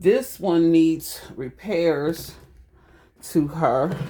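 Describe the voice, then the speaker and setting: The speaker has an animated tone and a Southern US accent. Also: woman. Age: 60s. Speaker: home DIY vlogger. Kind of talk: casual DIY vlog talk to viewers. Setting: at home in bathroom. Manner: chatty, animated.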